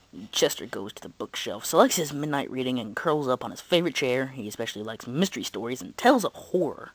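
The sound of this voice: Reading voice that sounds unforced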